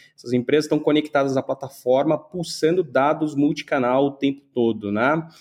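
With hardly any pauses, a man speaks in a normal speaking voice, his fairly high pitch held to fairly even intonation. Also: moderate pace. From Brazil, São Paulo. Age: 30s. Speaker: tech entrepreneur. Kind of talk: interview.

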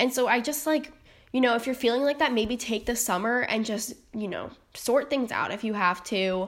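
A woman with an American accent, high-pitched with ordinary variation, at a moderate pace. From North Carolina. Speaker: nursing student, podcast host. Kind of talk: personal monologue podcast. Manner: many filler ums, casual.

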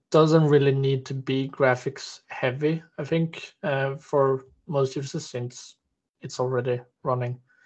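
A man with a Swedish accent, medium-pitched, somewhat breathy, at a fairly slow pace and in a flat monotone. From Stockholm, Sweden. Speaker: game quality designer. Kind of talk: panel discussion.

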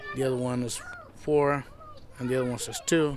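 Noticeable background noise accompanies a man talking at a fairly quick pace, at medium pitch, in a monotone, flat intonation. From Michoacan, Mexico. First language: Spanish. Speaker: tamale seller.

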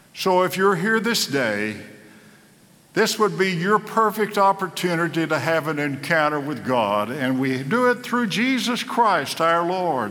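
In an American accent, a man with a high pitch talks at a fairly slow pace with very wide pitch swings, amid noticeable background noise and audible room echo. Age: 80s+. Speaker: pastor. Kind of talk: sermon.

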